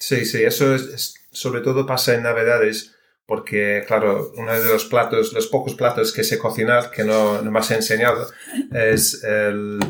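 A man talks with a British accent. His pace is fairly slow. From United Kingdom. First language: English (speaking Spanish). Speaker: software engineer and amateur cook. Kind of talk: interview. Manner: halting.

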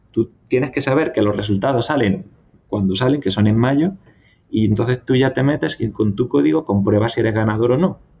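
A somewhat breathy man speaks fairly quickly at medium pitch. His intonation is lively and his loudness very even. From southern Spain (Andalusia, Cazorla). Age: 30s. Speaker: civil engineer, visa lottery winner. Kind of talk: personal testimony interview.

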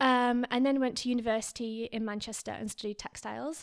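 A woman's fairly high voice in a Lancashire accent, with fairly even intonation. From northern England, Lancaster area. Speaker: podcast co-host. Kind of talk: casual chat.

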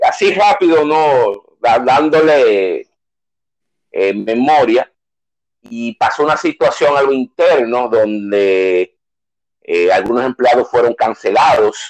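Heard in a dry, close recording with no echo, a man speaks with lively intonation. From Dominican Republic, San Francisco de Macorís. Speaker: former Red Cross rescue volunteer. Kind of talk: interview. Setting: studio. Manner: halting.

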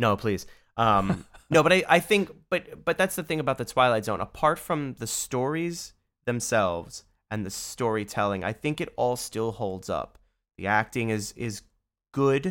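With a New York accent, a man speaks at a medium pitch and moderate pace. His pitch swings very widely. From New York City, Bronx. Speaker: audio engineer and director. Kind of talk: casual chat.

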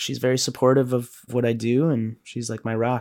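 A plain, everyday voice: a man at medium pitch with an American accent, fairly quick pace, dry, close sound with no echo. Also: very clean recording, silent background. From Illinois, Chicago area. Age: 30s. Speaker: musician. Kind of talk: interview.

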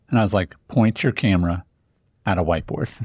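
A very fast, somewhat breathy man's voice at a fairly low pitch with ordinary pitch variation, dry and close with no echo, on a very clean recording with a silent background. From Indiana, US Midwest. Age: 40s. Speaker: business coach, podcast guest. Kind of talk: podcast conversation.

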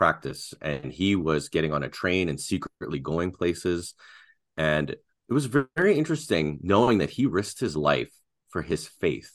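Very deep and low, a man's voice with vocal fry and a Canadian accent moves at a moderate pace on a very clean recording with a silent background. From Canada. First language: Russian. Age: 40s. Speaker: podcast co-host and design business owner. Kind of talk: casual interview conversation.

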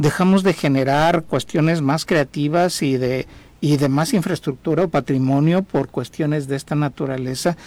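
Using a plain, everyday voice, a man speaks at a moderate pace, fairly high in pitch with fairly even intonation. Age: 60s. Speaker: civil engineer and former thanatology student. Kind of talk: radio interview testimony.

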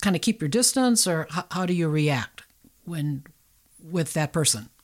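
A woman with an unremarkable speaking voice talks at a fairly low pitch with ordinary pitch variation, on a very clean recording with a silent background. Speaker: community radio host. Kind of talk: interview. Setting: studio.

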